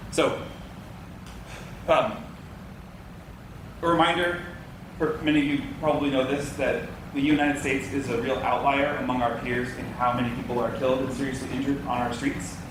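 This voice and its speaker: A man talks at a fairly high pitch with fairly even intonation and long, frequent pauses. Noticeable background noise and audible room echo are present. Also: fairly quick pace. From Boston. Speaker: transportation consultant. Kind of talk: public presentation. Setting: public meeting with audience. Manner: repetitive stammering.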